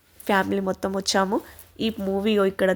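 Set against a silent background in a very clean recording, a woman speaks at a medium pitch with monotone, flat intonation. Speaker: family vlogger. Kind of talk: casual vlog narration.

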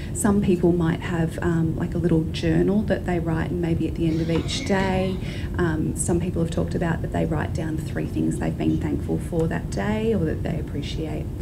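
A woman keeps a moderate tempo while loud background noise runs underneath. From Australia. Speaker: clinical psychologist. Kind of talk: presentation talk. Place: hall. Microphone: handheld.

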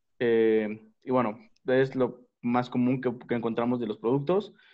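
This is a man speaking. The background is quiet. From Mexico City. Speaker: craft brewery founder and head brewer. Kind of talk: panel discussion. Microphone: video call.

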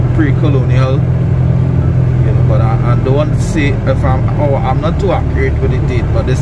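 A man's voice over loud background noise. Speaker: tour guide in car. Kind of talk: casual commentary. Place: car. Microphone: phone near.

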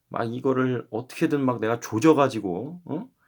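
With a medium pitch and a fairly slow pace, a man talks on a very clean recording with a silent background. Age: 20s. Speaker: YouTuber. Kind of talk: casual vlog monologue. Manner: rambling, filler-heavy.

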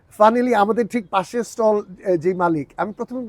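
This is a man's voice. The pitch moves with ordinary variation. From Bangladesh (Dhaka), early childhood in UK. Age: 40s. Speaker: dairy farm owner. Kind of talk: casual interview on a farm tour.

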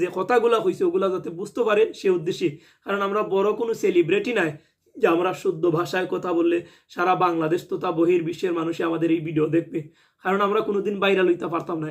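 A man talks in a high voice with a Sylheti accent. His intonation stays fairly even. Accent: Sylheti regional dialect. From Bangladesh, Sunamganj (Sylhet region). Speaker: YouTube vlogger. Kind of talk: video commentary.

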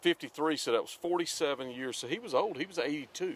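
Speaking fast, a man uses a fairly high pitch and a fairly bright tone with a slightly husky edge and ordinary pitch variation.

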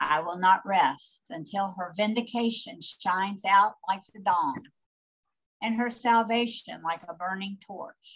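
A woman talks at a fairly slow pace, her pitch variation ordinary. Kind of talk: liturgical scripture reading. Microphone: video call.

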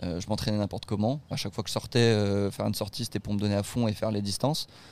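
A man's fairly low, monotone voice with flat intonation, in a very clean recording with a silent background. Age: 20s. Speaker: student and documentary maker. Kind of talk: interview. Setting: on site at the race.

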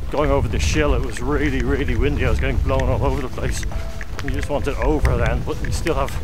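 Delivered at a very fast pace, the speech has a dry, echo-free sound with noticeable background noise. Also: man. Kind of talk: interview answer. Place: open country. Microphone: camera far.

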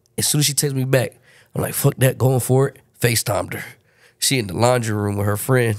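A man with an ordinary speaking voice talks at a fairly quick pace and medium pitch, with fairly even intonation. His loudness swings a lot, and the recording is very clean with a silent background. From Baltimore, Maryland; moved to San Antonio at 13. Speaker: rapper. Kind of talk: casual chat.

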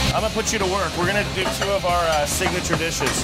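Over loud music in the background, a man talks at a very fast pace. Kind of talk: interview answer. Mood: cheerful, upbeat. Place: kitchen.

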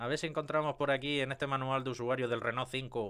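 Against a quiet background, a man talks at a fairly quick pace with a medium pitch. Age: 30s. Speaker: YouTuber on car maintenance. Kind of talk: casual video commentary. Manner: animated; halting, with many fillers and repetitions. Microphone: studio mic.

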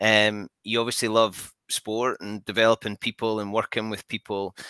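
This man's voice has a bright, sharp tone. The sound is dry with no echo, and the background is quiet. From Scotland. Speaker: podcast host. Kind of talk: casual interview. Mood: warm, enthusiastic.

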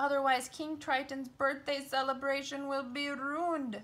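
In a put-on character voice, a woman speaks at a moderate pace with a high pitch and monotone, flat intonation. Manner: grumpy, fussy.

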